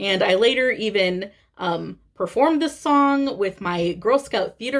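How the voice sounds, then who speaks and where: The speaker has a strong Midwestern accent and a fairly slow pace, with very wide pitch swings. The recording is very clean, with a silent background. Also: woman. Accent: thick Midwestern. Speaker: cross-stitch vlogger. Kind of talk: casual vlog monologue. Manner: hesitant, many fillers.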